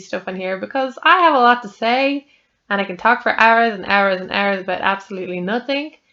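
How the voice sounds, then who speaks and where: Her Irish accent comes with a fairly high pitch and a bright, sharp tone. This woman talks at a fairly quick pace with ordinary pitch variation. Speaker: podcaster. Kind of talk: casual chat. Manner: rambling conversational, many fillers.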